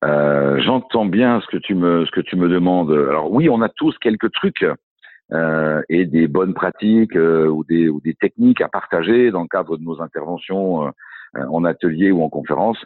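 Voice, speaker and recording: This man has a very deep, low pitch with ordinary pitch variation. He talks at a fairly slow pace. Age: 50s. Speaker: coach and speaker on workplace well-being. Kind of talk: interview. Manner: halting, many hesitations.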